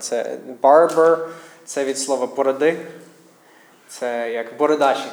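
Amid noticeable background noise and audible room echo, a man with an English accent and a fairly high pitch speaks very slowly with fairly even intonation. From United States. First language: English (speaking Ukrainian). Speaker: missionary pastor. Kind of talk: sermon. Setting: church. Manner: halting.

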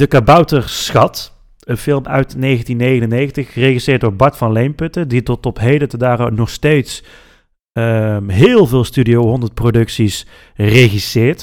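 On a very clean recording with a silent background and a dry, close sound with no echo, a man speaks very slowly at a medium pitch with ordinary pitch variation. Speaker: podcast host. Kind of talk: casual chat.

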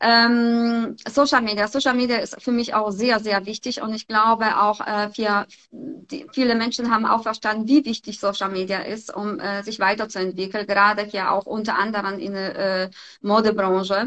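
Her voice is fairly high and bright and sharp, and this woman keeps her intonation fairly even. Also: moderate pace. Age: 50s. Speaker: model and fashion blogger. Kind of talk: casual interview. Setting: online call via Instagram live. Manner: hesitant, many fillers.

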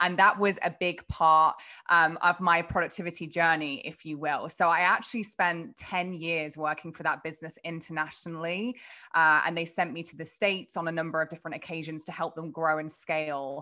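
Against a quiet background, a woman with an English accent talks at a fairly quick pace. Her fairly low voice has a bright, sharp tone and monotone, flat intonation. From England. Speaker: productivity coach. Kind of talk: casual interview.

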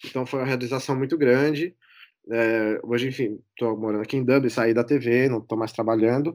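Here a man with a normal speaking voice talks at a fairly quick pace and medium pitch. His intonation stays fairly even on a very clean recording with a silent background. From Brazil, São Paulo. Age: 30s. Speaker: former TV production worker. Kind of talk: casual chat.

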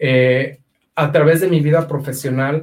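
A man speaks at a very slow pace, somewhat breathy and fairly high-pitched. His intonation is monotone and flat. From Mexico, Aguascalientes. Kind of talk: testimony.

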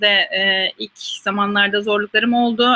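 The tone is bright and sharp, with fairly even intonation. The sound is dry and close, with no echo. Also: woman. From Turkey, İzmir. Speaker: scientist. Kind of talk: interview Q&A. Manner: hesitant with frequent fillers.

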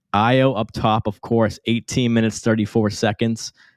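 At a moderate pace, a man with a medium pitch and a normal speaking voice is heard in a dry, close recording with no echo, very clean and with a silent background. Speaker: podcast host. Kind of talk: casual chat.

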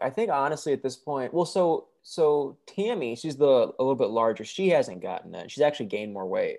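Against a quiet background, a man with a Midwestern accent speaks at a moderate pace in a dark, mellow tone and a fairly high pitch. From Michigan. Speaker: reality TV reviewer on YouTube. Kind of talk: casual interview chat.

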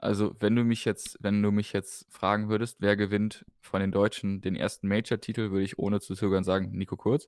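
Hardly pausing at all, a man speaks in a fairly low pitch. His intonation is monotone and flat, on a very clean recording with a silent background. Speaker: darts podcast co-host. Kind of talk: casual chat.

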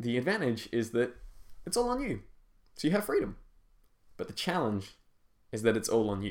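At a fairly quick pace broken by long, frequent pauses, a man of medium pitch speaks with very wide pitch swings. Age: 20s. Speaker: fantasy author and podcast host. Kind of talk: scripted reading of interview answers.

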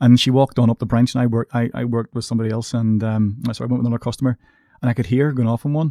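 A man with a Northern Irish accent talks at a very fast pace in a flat monotone. His medium-pitched voice is dark and mellow, and the sound is dry and close with no echo. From Northern Ireland, Coleraine. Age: 30s. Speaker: podcast host, bank worker. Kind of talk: casual chat.

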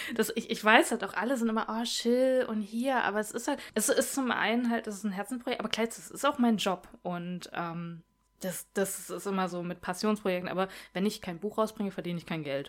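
At a fairly quick pace, a woman talks in a normal speaking voice with a fairly high pitch. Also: ordinary pitch variation. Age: 30s. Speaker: comic artist. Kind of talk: casual chat.

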